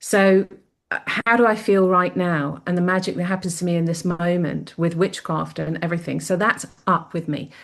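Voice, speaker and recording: A woman's voice, a normal speaking voice, fairly low in pitch, at a moderate pace with fairly even intonation. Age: 60s. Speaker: psychic medium. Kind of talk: interview.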